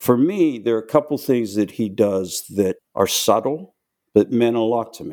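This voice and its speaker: A man's medium-pitched voice with a dark, mellow tone, an American accent, lively intonation, big swings in loudness and a moderate pace. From Pittsburgh, Pennsylvania. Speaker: war veteran. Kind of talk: interview.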